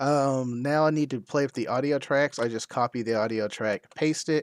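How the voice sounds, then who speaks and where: A man speaks fairly slowly at medium pitch with ordinary pitch variation, the sound dry and close with no echo. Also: very clean recording, silent background. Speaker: ham radio video creator. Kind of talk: tutorial. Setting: live stream. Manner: loud.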